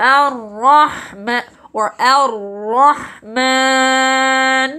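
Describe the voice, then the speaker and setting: A female-sounding, put-on character voice comes through nasal and high-pitched. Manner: demonstrating a pronunciation.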